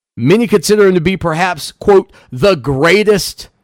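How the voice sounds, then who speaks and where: A high-pitched man with lively intonation at a fairly slow pace, dry and close with no echo. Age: 40s. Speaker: sports radio host. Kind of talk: radio talk show.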